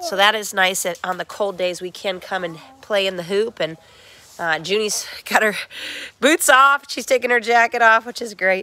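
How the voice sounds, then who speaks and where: Noticeable background noise sits behind this woman. Her pitch is medium. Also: ordinary pitch variation, moderate pace. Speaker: small farmer. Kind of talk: casual video walkthrough. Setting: inside a hoop house greenhouse.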